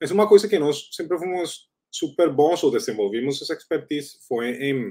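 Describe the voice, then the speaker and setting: A man with a Spanish accent at a moderate pace, his intonation lively. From Colombia. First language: Spanish (speaking Portuguese). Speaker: startup founder. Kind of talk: interview.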